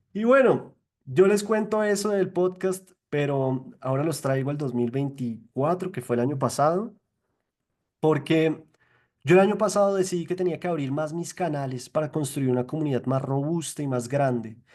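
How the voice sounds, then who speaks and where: A man with a Bogotá accent speaks at a moderate pace in an animated tone, his fairly high voice carrying lively intonation. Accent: cachaco (Bogotá). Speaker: literature podcaster and speaker. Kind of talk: virtual talk / presentation. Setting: online virtual event. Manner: conversational, animated.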